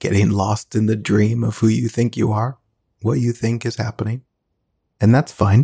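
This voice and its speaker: The tone is dark and mellow, somewhat breathy, with fairly even intonation. Delivery is at a moderate pace, with a dry, close sound and no echo. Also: man, fairly low pitch for a man. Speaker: meditation teacher. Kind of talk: guided meditation. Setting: live video broadcast.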